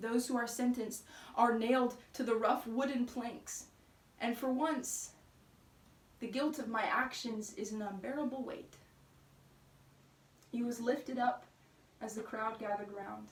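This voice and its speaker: Over noticeable background noise, a woman with a high voice and fairly even intonation speaks with long, frequent pauses. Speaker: spoken word poet. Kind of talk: spoken word poetry.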